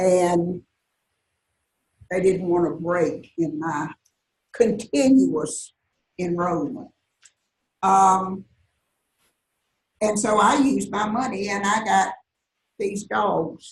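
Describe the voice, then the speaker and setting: The speaker talks at a very slow pace with long, frequent pauses and vocal fry, in a Southern US accent. The intonation is lively. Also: woman, medium pitch for a woman. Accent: Southern US (Georgia). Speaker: retired college teacher. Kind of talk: talk to a live audience. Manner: conversational, with many fillers.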